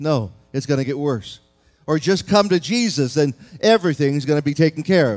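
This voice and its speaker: Faint music plays underneath. Over it, a man talks. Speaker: pastor. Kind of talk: sermon. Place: church. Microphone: podium.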